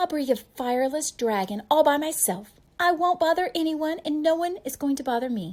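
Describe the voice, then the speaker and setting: Using a put-on character voice, a woman speaks at a moderate pace with a high pitch. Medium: read story.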